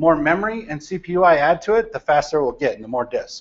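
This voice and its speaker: Pitched high, a man talks at a fairly quick pace. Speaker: data architect. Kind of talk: lecture to a university class. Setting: large lecture hall. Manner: loud, projecting. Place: classroom.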